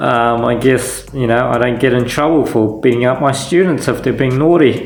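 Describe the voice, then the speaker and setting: The voice keeps a moderate pace with fairly even intonation. Noticeable background noise is present. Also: man, medium pitch for a man, very even loudness. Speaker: vlogger and taekwondo teacher. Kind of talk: casual vlog narration.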